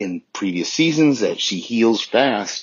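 At a fairly slow pace, a man with a medium pitch and lively intonation speaks in an unremarkable speaking voice. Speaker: listener leaving voicemail. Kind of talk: voicemail feedback. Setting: phone voicemail.

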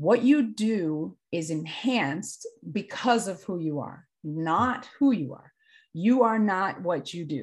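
A woman's fairly low, somewhat breathy voice swings very widely in pitch. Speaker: sports mental performance coach. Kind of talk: casual interview conversation.

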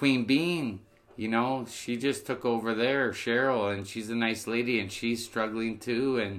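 He speaks at a fairly slow pace. The man has an ordinary speaking voice at a medium pitch. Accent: Canadian. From Niagara, Ontario, Canada. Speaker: barber and business owner. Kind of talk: casual chat.

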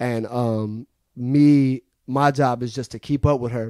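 With an American accent, the speaker has a dark, mellow tone and monotone, flat intonation in a dry, close sound with no echo. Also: man. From Seattle, US Pacific Northwest. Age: 30s. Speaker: mixing engineer. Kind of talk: interview. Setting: recording studio. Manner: casual, laid-back.

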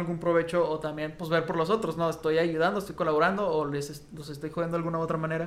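Speaking at a very fast pace, a man has a Mexican accent. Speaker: podcast co-host. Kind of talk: casual chat.

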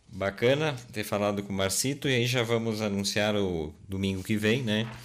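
Using ordinary pitch variation, a man speaks in a fairly low pitch at a fairly slow pace. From Rio Grande do Sul, Brazil (Garibaldi). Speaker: podcast co-host. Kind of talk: casual chat. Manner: halting.

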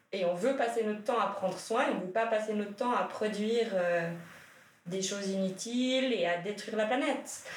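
A woman speaks at a moderate pace with fairly high pitch and ordinary pitch variation, over noticeable background noise and audible room echo. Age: 30s. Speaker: feminist activist, social work association employee. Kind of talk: casual discussion.

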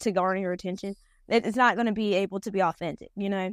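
This woman has a strong North Carolina accent and a medium pitch. Her voice comes across dry and close, with no echo. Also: quiet background. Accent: strong Southern, Robeson County dialect. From Robeson County, North Carolina. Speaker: chicken farmer and beauty queen. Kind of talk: casual chat.

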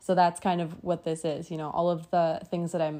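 A woman speaks with a western Canadian accent at a fairly low pitch. Her tone is dark and mellow, and the background is quiet. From Alberta, Canada. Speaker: podcast host. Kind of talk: casual monologue. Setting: at home in bed. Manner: casual, giggly.

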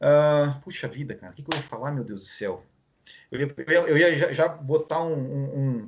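Speaking at a moderate pace with a Brazilian accent, a man with a fairly high pitch sounds somewhat breathy, with ordinary pitch variation and big swings in loudness. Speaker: podcast host. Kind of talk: casual chat. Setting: live stream.

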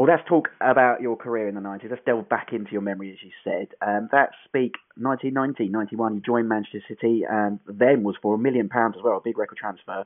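A man with an ordinary speaking voice talks at a fairly quick pace with hardly any pauses, a medium pitch and fairly even intonation. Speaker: interviewer. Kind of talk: interview. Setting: phone call.

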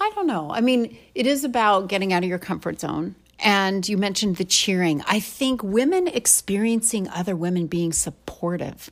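An ordinary speaking voice, this woman's sits at a medium pitch and moves at a moderate pace with lively intonation and hardly any pauses. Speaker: podcast host. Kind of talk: casual interview chat.

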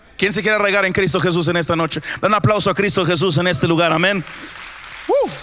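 Over crowd noise in the background, a man talks in an animated tone at a high pitch and a fairly quick pace. His loudness stays very even, with ordinary pitch variation. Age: 30s. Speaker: pastor. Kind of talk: sermon. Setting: church.

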